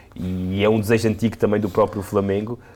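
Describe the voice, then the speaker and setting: A man's medium-pitched voice carries a dark, mellow tone and fairly even intonation. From Portugal, Alentejo (Serpa). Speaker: football pundit. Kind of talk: casual football discussion.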